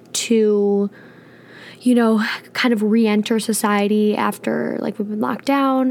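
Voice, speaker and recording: Pitch moves in an ordinary way in a plain, everyday voice. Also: woman. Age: 20s. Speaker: podcast co-host. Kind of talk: casual chat.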